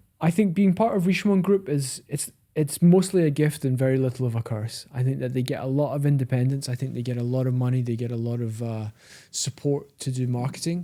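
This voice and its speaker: Very fast and in a Scottish accent, a man speaks with a dark, mellow tone, a medium pitch and ordinary pitch variation. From Scotland, Edinburgh. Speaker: watch dealer, podcast co-host. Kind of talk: casual chat.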